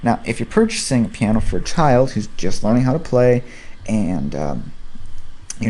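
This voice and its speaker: Mumbling at a fairly quick pace, the speaker uses lively intonation and a dark, mellow tone amid audible room echo. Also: man. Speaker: piano instruction video host. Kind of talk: tutorial. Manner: casual, hesitant with fillers.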